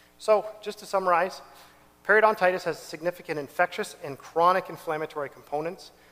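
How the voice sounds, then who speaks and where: A very fast, high-pitched man's voice with ordinary pitch variation and noticeable background noise. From Ontario, Canada (Whitby). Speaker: dentist. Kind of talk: health workshop talk.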